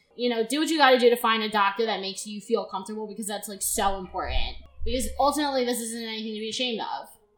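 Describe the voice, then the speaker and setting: Over noticeable background noise, a woman with a fairly high pitch rushes along at a very fast pace with hardly any pauses, her loudness swinging a lot while her pitch varies in an ordinary way. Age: 20s. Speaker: podcast host and genetic disease researcher. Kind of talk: casual chat. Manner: animated.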